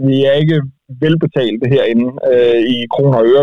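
A man has an ordinary speaking voice, medium in pitch with ordinary pitch variation. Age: 30s. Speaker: car journalist. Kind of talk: casual chat.

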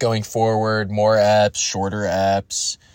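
A man talks at a very slow pace in a fairly low pitch. His intonation is monotone and flat. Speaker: podcast co-host. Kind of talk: casual monologue intro. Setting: recorded voice note.

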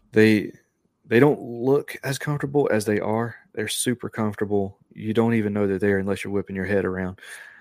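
The speaker has a Southern US accent and talks at a fairly quick pace with fairly even intonation. The recording is very clean, with a silent background. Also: man, fairly low pitch for a man. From North Carolina, near Charlotte. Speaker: podcaster. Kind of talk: casual chat.

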